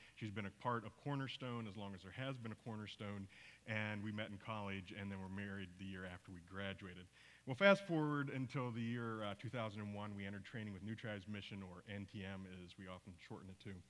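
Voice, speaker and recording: A man with an American accent, an unremarkable speaking voice, fairly low in pitch, fairly quick and fairly even in intonation. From US, teen years in Papua New Guinea. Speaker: missionary; speaker. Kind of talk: church mission report talk. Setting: church service with congregation. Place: church.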